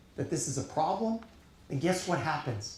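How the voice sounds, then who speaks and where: In an American accent, a man speaks at a high pitch with an animated tone, with audible room echo and noticeable background noise. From Long Island, New York. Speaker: keynote speaker, data science leader. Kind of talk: keynote speech.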